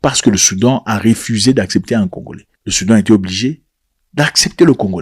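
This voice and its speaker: A man's fairly low voice at a fairly quick pace, with ordinary pitch variation and a dry, close sound with no echo. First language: not French (speaking French). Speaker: political commentator. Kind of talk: video commentary. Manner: animated.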